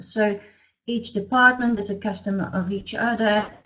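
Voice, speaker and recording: A woman at medium pitch, somewhat breathy, at a fairly slow pace. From DR Congo, Belgian family. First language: French or Flemish. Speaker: business consultant. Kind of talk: webinar presentation. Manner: hesitant, many fillers.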